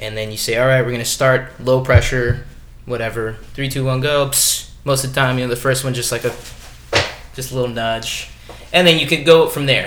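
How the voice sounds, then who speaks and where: Here a man with a medium pitch talks at a fairly quick pace. There is noticeable background noise and audible room echo. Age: 20s. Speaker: professional stuntman. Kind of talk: casual chat.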